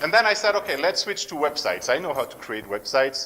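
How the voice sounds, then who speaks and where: Against noticeable background noise, a man with a French accent talks at a fairly quick pace. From France, near German border. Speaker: entrepreneur. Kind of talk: pitch talk.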